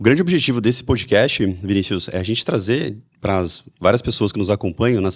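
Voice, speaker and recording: This very clean recording with a silent background features a man with an unremarkable speaking voice at medium pitch. He moves at a fairly quick pace with lively intonation. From Brazil, Mogi Mirim, São Paulo state. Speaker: podcast host. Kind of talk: podcast interview.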